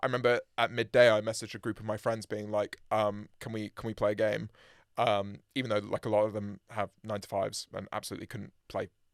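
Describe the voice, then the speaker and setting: A man's fairly low, monotone voice at a very fast pace, in a very clean recording with a silent background and a dry, close sound with no echo. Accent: British. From UK. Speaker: musician, band frontman. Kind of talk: casual interview chat. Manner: hesitant, many fillers and repeats.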